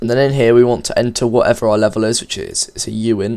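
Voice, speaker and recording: Words come from the man at a very fast pace. His voice sits at a medium pitch. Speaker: game development tutorial maker. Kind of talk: coding tutorial. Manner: stuttering, halting.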